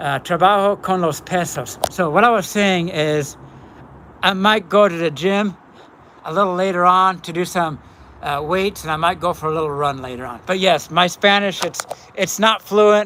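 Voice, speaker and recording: The man's voice is high in pitch with a bright, sharp tone. He goes at a moderate pace. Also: ordinary pitch variation. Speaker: YouTuber. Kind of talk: live stream chat. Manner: halting.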